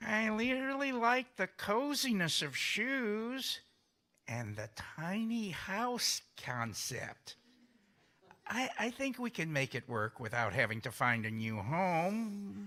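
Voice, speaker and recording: A put-on character voice, fairly high in pitch, speaks at a very slow pace. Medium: stage play.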